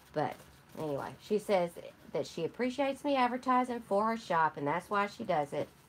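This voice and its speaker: Fairly quick in pace, the speech shows very wide pitch swings. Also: woman, medium pitch for a woman. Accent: Michigan. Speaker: junk journal crafter, live streamer. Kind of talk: live stream chat with viewers, product haul. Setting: live stream. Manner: casual, chatty.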